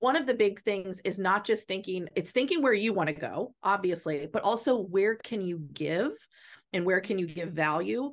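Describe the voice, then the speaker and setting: A woman's medium-pitched, an unremarkable speaking voice with an American accent, lively intonation and moderate pace against a quiet background. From Virginia, Shenandoah County. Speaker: life coach and speaker. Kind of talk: casual interview.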